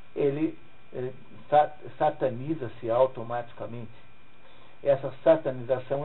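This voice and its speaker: A man of medium pitch with a Brazilian accent at a moderate pace with fairly even intonation, amid audible room echo and noticeable background noise. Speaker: literature teacher. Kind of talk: lecture.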